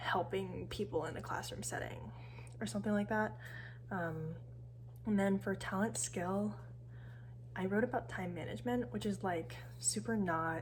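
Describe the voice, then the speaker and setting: A woman with an American accent speaks quietly, mumbling at a moderate pace. She leaves long, frequent pauses. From San Francisco Bay Area. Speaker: university student. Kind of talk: casual talk to camera. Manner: mumbling, quiet.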